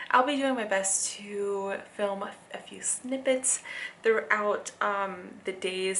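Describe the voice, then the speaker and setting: Over noticeable background noise and audible room echo, a woman talks at a medium pitch with ordinary pitch variation. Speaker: vlogger and life coach. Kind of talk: casual vlog talk to camera. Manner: stuttering, halting; casual with many fillers.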